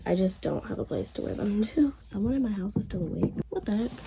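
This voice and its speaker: Background noise is noticeable throughout. The voice belongs to a woman. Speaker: lifestyle vlogger. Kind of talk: casual vlog narration. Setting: bedroom at home. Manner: casual, filler-heavy.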